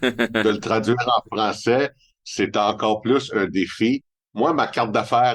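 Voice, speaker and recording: Over a quiet background, a man speaks very slowly at a medium pitch in a Montreal accent. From Montreal, Quebec. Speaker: independent family advisor. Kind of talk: podcast interview.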